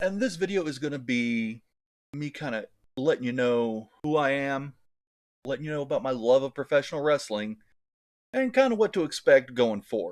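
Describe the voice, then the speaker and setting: A fairly high-pitched man at a moderate pace, lively in intonation, with long, frequent pauses, on a very clean recording with a silent background. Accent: American. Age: 40s. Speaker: wrestling YouTuber. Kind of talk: casual monologue.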